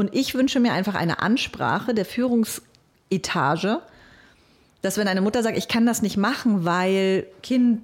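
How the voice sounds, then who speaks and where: A woman's fairly high-pitched voice with lively intonation at a moderate pace. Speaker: radio program director and podcaster. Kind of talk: interview. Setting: studio.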